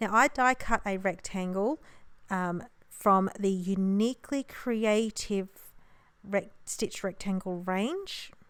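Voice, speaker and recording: On a very clean recording with a silent background, a woman with an Australian accent speaks at a very slow pace. Her pitch is medium, with ordinary variation. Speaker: papercraft card maker. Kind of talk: crafting tutorial voiceover. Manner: casual, chatty.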